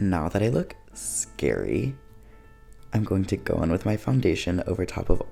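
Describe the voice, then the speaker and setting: A soft-spoken man with a soothing tone at a moderate pace. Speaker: drag performer. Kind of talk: makeup tutorial voice-over. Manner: soft-spoken, soothing.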